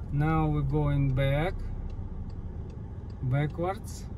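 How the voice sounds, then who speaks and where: The voice moves at a very slow pace over a dry sound with no echo and noticeable background noise. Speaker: driver demonstrating parking. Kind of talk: tutorial. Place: car.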